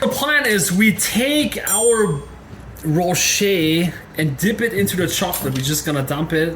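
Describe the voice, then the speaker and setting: The speaker has a German accent, heard over noticeable background noise. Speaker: cooking video creator. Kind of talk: tutorial. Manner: casual, chatty.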